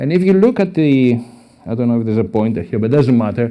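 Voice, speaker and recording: In a Greek accent, a man speaks at a medium pitch in a dark, mellow tone over a quiet background. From Greece. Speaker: professor. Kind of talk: conference talk.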